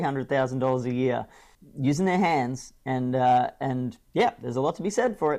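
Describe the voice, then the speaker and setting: Speaking at a fairly quick pace, a man uses lively intonation and an Australian accent. The background is quiet. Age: 40s. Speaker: speaker and coach. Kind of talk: interview conversation. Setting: at home with kids nearby.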